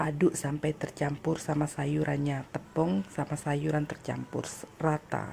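The speaker is a woman with a very deep, low pitch. She talks fairly slowly, her intonation fairly even. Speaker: domestic worker vlogger. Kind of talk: casual vlog, cooking. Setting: home kitchen.

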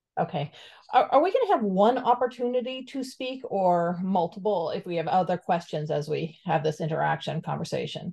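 A somewhat breathy woman with an American accent has a dark, mellow tone and lively intonation. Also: fairly quick pace, quiet background. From Florida Keys. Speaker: community member. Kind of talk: public comment. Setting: video call. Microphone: video call.

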